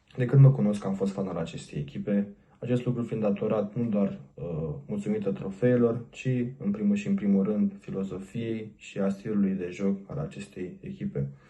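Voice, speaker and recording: At a moderate pace, a man talks in a fairly low pitch with a dark, mellow tone and ordinary pitch variation. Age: 20s. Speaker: fan page admin. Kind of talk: scripted self-introduction.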